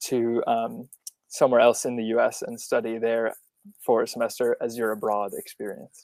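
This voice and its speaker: The sound is dry and close with no echo. A man speaks with an American accent at a moderate pace. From Massachusetts, near Boston. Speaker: college student. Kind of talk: panel discussion.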